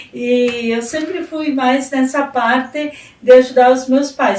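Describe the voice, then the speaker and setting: With noticeable background noise behind her, a woman speaks at a very slow pace in a high pitch with ordinary pitch variation. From southern Brazil, rural Rio Grande do Sul (Casca). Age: 60s. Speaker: retired education secretary and teacher. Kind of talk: radio interview.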